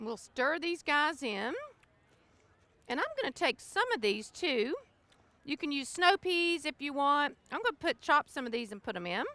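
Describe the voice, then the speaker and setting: In a raised, projected voice, a woman speaks with a Southern US accent and a high pitch. Her tone is bright and sharp, with very wide pitch swings. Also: moderate pace, dry, close sound with no echo. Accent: Southern US (Georgia). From US South, South Georgia. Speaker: cookbook author. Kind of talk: cooking demonstration. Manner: casual, chatty.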